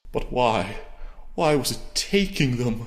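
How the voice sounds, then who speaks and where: A man puts on a character voice at a medium pitch, with very wide pitch swings and a fairly slow pace. There is audible echo. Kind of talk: biblical lament. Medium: audio drama. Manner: raving, incoherent, biblical.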